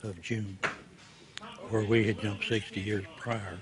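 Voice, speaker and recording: A man with an Oklahoma accent at a fairly low pitch, fairly slow and monotone, flat in intonation, amid noticeable background noise. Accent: Oklahoma Southern American. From Oklahoma, USA. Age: 80s+. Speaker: World War II paratrooper veteran. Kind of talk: interview answer.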